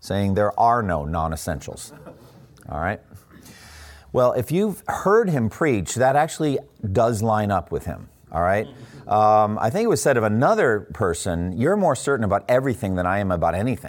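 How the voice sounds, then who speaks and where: This man has an ordinary speaking voice at a fairly low pitch. His intonation is lively and his pace moderate. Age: 60s. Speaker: pastor. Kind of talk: talk to fellow pastors. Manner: casual, with many fillers.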